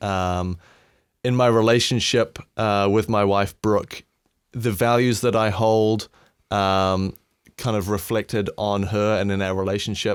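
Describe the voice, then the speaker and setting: A man in a New Zealand accent speaks at a fairly slow pace with flat, monotone intonation. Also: fairly low pitch for a man. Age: 20s. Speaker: sound engineer. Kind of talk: casual chat.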